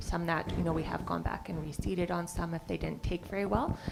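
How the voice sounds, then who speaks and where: Noticeable background noise and audible room echo surround this recording. A woman with a fairly low pitch talks at a fairly quick pace. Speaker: municipal agricultural staff reporting to council. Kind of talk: council meeting report. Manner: fast.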